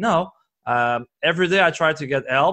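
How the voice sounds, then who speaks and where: A man with a Quebec accent speaks in a high, bright, sharp voice with ordinary pitch variation against a quiet background. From Quebec, Canada. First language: French. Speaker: performance coach and entrepreneur. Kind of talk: podcast interview. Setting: recorded at a conference. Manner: halting, many fillers and restarts.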